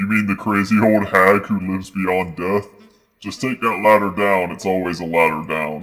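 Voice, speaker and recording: Putting on a character voice, a man speaks at a moderate pace in a very deep, low pitch with fairly even intonation. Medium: game stream. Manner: cranky, snappish.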